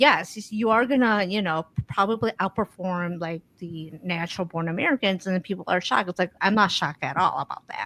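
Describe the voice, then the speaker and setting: Recorded very clean, dry and close with no echo and a silent background, a woman with a medium pitch speaks at a fairly quick pace in a bright, sharp tone, hardly pausing, with ordinary pitch variation. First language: not English. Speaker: podcast co-host. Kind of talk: casual conversation.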